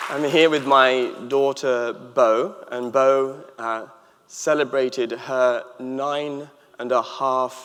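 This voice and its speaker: Noticeable background noise sits behind a man with a medium pitch. He talks at a very slow pace with fairly even intonation. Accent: English. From England. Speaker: author and happiness expert. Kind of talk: commencement speech. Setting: stage with audience.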